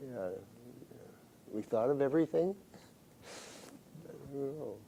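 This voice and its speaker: Fairly high-pitched male voice with a dark, mellow tone, lively intonation and a moderate pace. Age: 80s+. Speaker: retired public health commissioner. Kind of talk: interview. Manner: halting.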